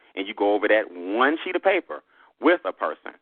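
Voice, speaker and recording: A man's fairly low, animated voice in a Southern US accent, fairly quick and with lively intonation. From US South. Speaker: business trainer. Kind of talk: sales pitch.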